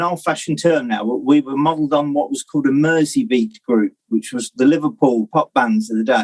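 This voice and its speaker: With a Northamptonshire accent, a man speaks at a moderate pace and fairly high pitch, his lively intonation running with hardly any pauses in a dry, close sound with no echo. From Northamptonshire, England. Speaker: musician. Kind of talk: casual interview chat.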